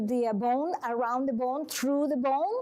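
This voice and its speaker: A woman with a Venezuelan accent, high-pitched, at a fairly slow pace. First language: Spanish. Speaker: massage and manual therapist. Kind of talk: talk to a support group. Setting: room with a small audience.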